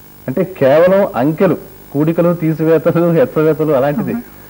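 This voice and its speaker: A man talks in an ordinary speaking voice. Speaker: TV interviewer. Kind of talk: TV interview questions.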